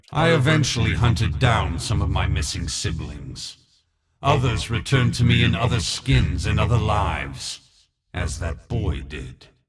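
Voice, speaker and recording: In a put-on character voice, a man growls in a very deep, low pitch with a menacing tone. His pitch swings very widely as he moves at a moderate pace. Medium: video game. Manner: menacing, contemptuous.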